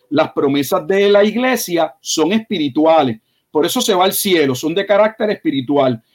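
The pace is moderate. Intonation is lively. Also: man. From Puerto Rico. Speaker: pastor and theology doctoral candidate. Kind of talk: bible teaching discussion.

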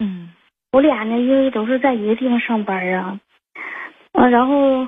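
Speaking at a moderate pace, a woman uses a fairly high pitch with ordinary variation. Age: 20s. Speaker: caller. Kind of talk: phone-in confession. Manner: hesitant, many fillers.

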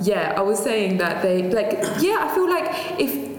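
Against noticeable background noise, a woman speaks at a medium pitch with very wide pitch swings. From southeast England. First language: Tamil. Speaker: podcast co-host. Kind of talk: casual chat.

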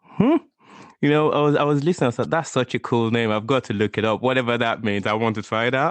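A man talks at a very fast pace in a medium-pitched voice. His loudness stays very even, and his pitch varies in an ordinary way. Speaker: podcast host. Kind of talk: interview, casual chat.

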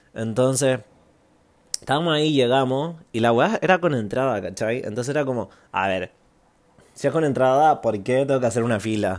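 Medium-pitched male speech at a moderate pace, with ordinary pitch variation and long, frequent pauses. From Chile, Santiago. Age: 20s. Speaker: podcast host, musician. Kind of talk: casual monologue, storytelling.

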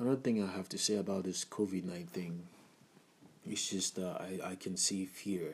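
This man's voice is very deep and low. He speaks with a Nigerian accent. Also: moderate pace. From Nigeria (Igbo, Abia State). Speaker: podcaster in the music business. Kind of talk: casual monologue. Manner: casual, hesitant with many fillers.

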